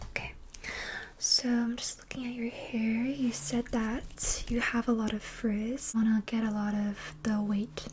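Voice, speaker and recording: Noticeable background noise surrounds a soft-spoken woman with a fairly high pitch. She talks at a fairly slow pace with fairly even intonation. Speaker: ASMR creator. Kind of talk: ASMR hairstylist roleplay. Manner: soft-spoken, chatty.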